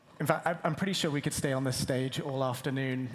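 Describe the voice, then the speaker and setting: The speech moves at a very fast pace, with audible room echo. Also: man. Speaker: creative art director at a theme park design firm. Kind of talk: stage presentation. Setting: stage with audience. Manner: enthusiastic.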